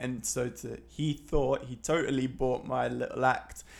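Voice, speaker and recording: A man speaks with an East Midlands accent. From Leicester, England. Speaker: photography podcaster. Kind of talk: casual solo monologue. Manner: hesitant, many fillers.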